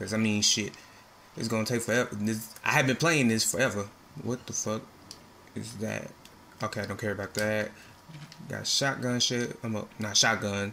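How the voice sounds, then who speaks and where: Light background noise is present. A man talks at a fairly quick pace with fairly even intonation. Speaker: gamer streamer. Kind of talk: casual gameplay commentary.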